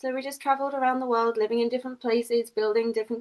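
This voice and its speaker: A woman with an English accent, fairly high pitch and a very fast pace. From England. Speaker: community founder and English professor. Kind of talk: podcast interview.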